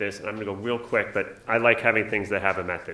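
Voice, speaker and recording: Talking very fast with a bright, sharp tone, a man with a New York accent uses ordinary pitch variation over audible room echo. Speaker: nursing professor. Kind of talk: conference talk.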